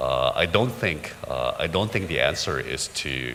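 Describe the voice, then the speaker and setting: Noticeable background noise sits behind the recording. A man talks at a very slow pace. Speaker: business forum panelist. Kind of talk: panel discussion. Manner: halting, many fillers.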